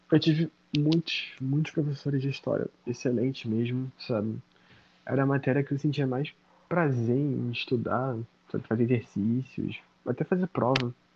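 A man speaks at a moderate pace. His medium-pitched voice is somewhat breathy. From Baixada Fluminense, Rio de Janeiro, Brazil. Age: 20s. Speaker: history master's student. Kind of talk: casual interview. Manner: animated.

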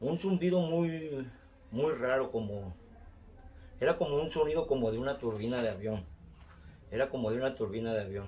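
Over noticeable background noise, a man at a medium pitch talks at a moderate pace with lively intonation and long, frequent pauses. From Mexico City. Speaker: storyteller, relative of host. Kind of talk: recorded testimony.

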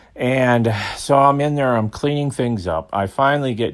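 A man speaks with an American accent in a very clean recording against a silent background. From Minnesota. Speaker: former video store manager. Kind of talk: storytelling voice message. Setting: recorded voice message. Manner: halting, many fillers.

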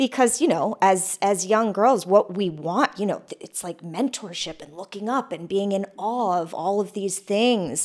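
In a very clean recording with a silent background, a woman with a plain, everyday voice talks at a medium pitch and a fairly slow pace, with ordinary pitch variation. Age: 40s. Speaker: podcast host. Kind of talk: casual interview. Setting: artist's studio.

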